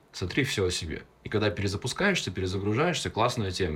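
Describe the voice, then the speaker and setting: A somewhat breathy voice that talks at a very fast clip. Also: man. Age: young. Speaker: public speaking coach. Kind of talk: casual chat. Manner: articulate.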